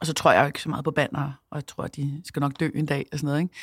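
This woman's voice is very deep and low, captured on a very clean recording against a silent background. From Denmark, Copenhagen. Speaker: entrepreneur and CEO, former DJ and radio host. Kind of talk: casual interview. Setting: studio.

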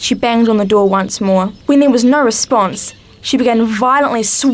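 Unforced reading, with pitch that varies in an ordinary way

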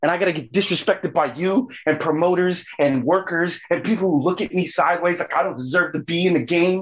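Animated in tone, a man with a high voice speaks at a fairly quick pace, with ordinary pitch variation and hardly any pauses. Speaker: wrestling manager and radio personality. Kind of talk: heated rant. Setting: phone call. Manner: loud, animated, aggressive.

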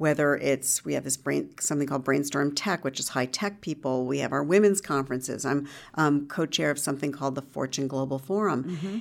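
Vocal fry marks a woman's very deep, low voice, with ordinary pitch variation. She talks at a fairly quick pace in a very clean recording with a silent background. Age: 50s. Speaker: journalist and entrepreneur. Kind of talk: interview. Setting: office.

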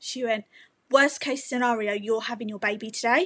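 A woman with an English accent at a moderate pace. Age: 20s. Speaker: mother sharing birth story. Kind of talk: testimony.

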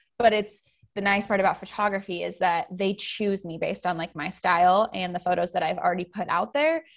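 Over a quiet background, a woman with an unremarkable speaking voice and an American accent talks at a fairly quick pace, medium pitch and ordinary pitch variation. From US Pacific Northwest. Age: 20s. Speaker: photographer. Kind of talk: casual interview chat.

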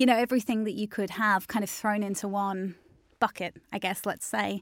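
In an Australian accent, a woman talks at a fairly quick pace and medium pitch with fairly even intonation, in a very clean recording with a silent background and a dry, close sound with no echo. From Australia, Melbourne. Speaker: digital marketing agency founder. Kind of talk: interview.

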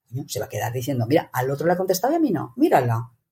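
A very fast woman's voice, dark and mellow with vocal fry and very wide pitch swings. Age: 60s. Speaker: meetings consultant and author. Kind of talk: interview.

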